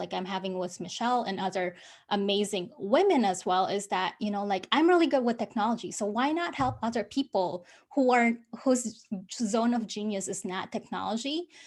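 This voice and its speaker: A woman speaks with a non-native accent. Her pace is moderate and her pitch varies in an ordinary way. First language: not English. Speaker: business coach. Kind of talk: interview. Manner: halting.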